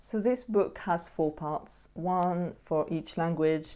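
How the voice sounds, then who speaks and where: Slowly and with fairly even intonation, a woman with a French accent talks at a fairly low pitch in a dark, mellow tone. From Switzerland, Jura region. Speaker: poetry youtuber. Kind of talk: tutorial.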